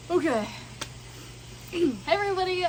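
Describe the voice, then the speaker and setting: Through audible room echo and noticeable background noise, a woman speaks at a fairly slow pace. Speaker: greenhouse worker. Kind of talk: tutorial.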